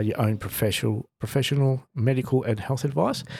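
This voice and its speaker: On a very clean recording with a silent background, a man talks fairly quickly in a dark, mellow, somewhat breathy tone with ordinary pitch variation. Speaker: health podcast host. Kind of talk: casual solo podcast monologue. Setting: home studio. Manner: halting with frequent fillers.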